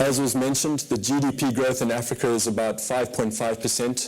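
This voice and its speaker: Monotone, flat speech at a moderate pace comes through with noticeable background noise and audible room echo. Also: man. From Zimbabwe. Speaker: fund manager. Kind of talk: conference presentation. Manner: hesitant, many fillers.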